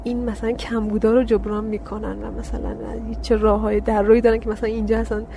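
Talking at a very fast pace with hardly any pauses, a woman swings widely in loudness amid audible room echo and noticeable background noise. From Iran, Karaj (Afghan heritage). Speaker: graduate geology student. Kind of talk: interview.

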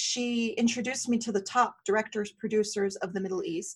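Speaking with an American accent, a woman sounds animated. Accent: American-sounding. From Syria. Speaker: skincare company founder. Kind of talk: interview storytelling.

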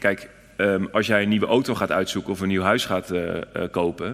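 A man talks at a fairly quick pace with a very deep, low pitch. His intonation stays fairly even. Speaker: city alderman. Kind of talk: live panel interview. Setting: stage with audience.

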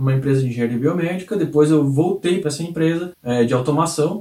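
Somewhat breathy and dark, mellow in tone, the man's voice is fairly high in pitch with ordinary pitch variation. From rural Brazil. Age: 30s. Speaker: sales trainer and channel creator. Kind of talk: video monologue.

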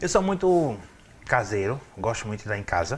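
A man is talking. His pace is moderate. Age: 40s. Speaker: city councillor. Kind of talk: interview.

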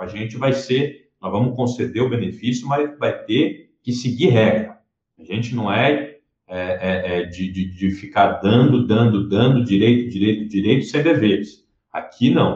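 A man talks at a fairly slow pace, somewhat breathy. His medium pitch shows ordinary variation. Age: 20s. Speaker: politician. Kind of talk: interview.

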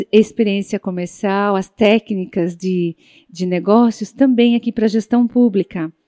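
A dark, mellow tone at a fairly slow pace, with a dry, close sound and no echo. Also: woman. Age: 50s. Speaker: public management consultant. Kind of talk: tutorial. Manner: halting, frequent filler 'é'.

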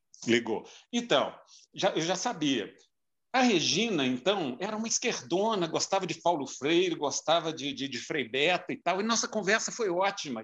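This man's voice is high-pitched, with very wide pitch swings. He keeps a moderate pace. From Minas Gerais, Brazil (João Monlevade). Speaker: marketing and communications professional. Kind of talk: casual interview chat. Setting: remote call.

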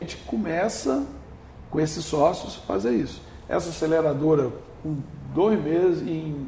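A man's fairly high voice at a moderate pace with lively intonation, amid noticeable background noise and audible room echo. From Brazil, northern Espírito Santo. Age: 50s. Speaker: business owner. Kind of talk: interview.

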